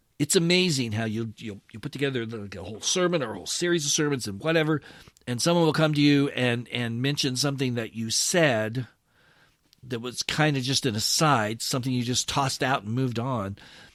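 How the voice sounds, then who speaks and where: A man speaks in a plain, everyday voice at a medium pitch and a fairly quick pace, with ordinary pitch variation and big swings in loudness. The recording is very clean, with a silent background. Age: 60s. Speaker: pastor and podcast host. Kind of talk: podcast commentary reading an article. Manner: conversational, with fillers and restarts.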